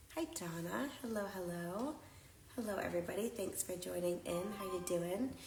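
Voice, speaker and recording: Through audible room echo and noticeable background noise, a woman speaks with lively intonation. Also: medium pitch for a woman, moderate pace. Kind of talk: live shopping stream chat. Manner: loud; casual, many fillers.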